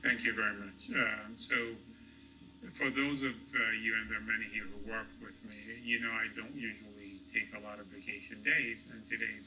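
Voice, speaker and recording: A moderate pace and big swings in loudness, with audible room echo and music in the background. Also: man. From Egypt. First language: Arabic. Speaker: hospital executive. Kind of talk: award acceptance speech. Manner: halting, many fillers and repetitions.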